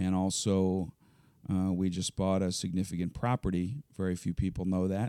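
A man with a Philadelphia accent speaks at a moderate pace in a very deep, low pitch, his tone dark and mellow, intonation fairly even and loudness very even, with a dry, close sound and no echo. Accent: Philadelphia-area American. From Philadelphia suburbs, Pennsylvania. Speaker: nonprofit youth basketball executive. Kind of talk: interview.

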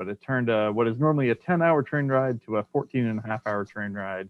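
A man talks at a fairly quick pace in a normal speaking voice, with ordinary pitch variation. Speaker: game store worker and podcast co-host. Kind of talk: casual chat.

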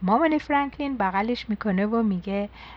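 Simple, plain reading aloud

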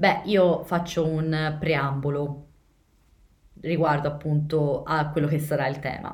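In a room with audible echo, a woman with a very deep, low voice speaks very slowly in a monotone, flat way, with long, frequent pauses. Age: 20s. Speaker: podcast host. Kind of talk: casual chat.

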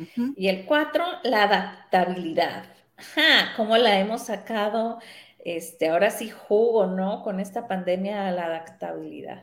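At a fairly slow pace, a woman talks in a plain, everyday voice, with a medium pitch and ordinary pitch variation. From Mexico, Sinaloa. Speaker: radio host. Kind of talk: casual interview.

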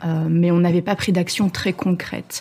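A woman speaks in a dark, mellow tone at a fairly low pitch. Her voice is somewhat breathy, with fairly even intonation. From Belgium. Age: 30s. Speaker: sailor, former traveling professional. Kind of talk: casual interview.

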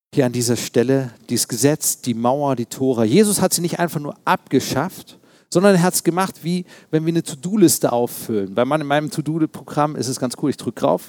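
A man with a plain, everyday voice and a fairly high pitch speaks at a fairly quick pace with lively intonation. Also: dry, close sound with no echo. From East Berlin, Germany. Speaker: pastor. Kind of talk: sermon.

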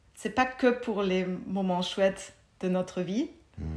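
Her pitch is medium. The woman speaks at a very slow pace. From Germany. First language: German (speaking French). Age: 40s. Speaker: mindfulness teacher. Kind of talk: casual interview.

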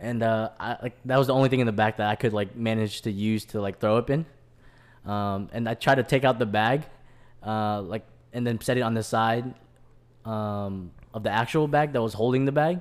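On a very clean recording with a silent background, a man with an unremarkable speaking voice talks at a moderate pace, his medium pitch showing ordinary variation. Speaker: podcast host. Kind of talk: casual chat. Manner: laughing often, casual.

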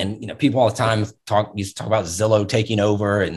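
A man speaks in an American accent. His voice is somewhat breathy. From Virginia Beach, Virginia. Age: 40s. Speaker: real estate agent and trainer. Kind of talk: interview conversation.

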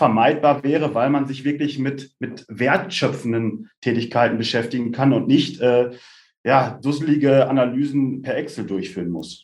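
This man has a normal speaking voice at a fairly high pitch. He keeps a moderate pace. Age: 30s. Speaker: tech startup co-founder and CEO. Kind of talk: podcast interview.

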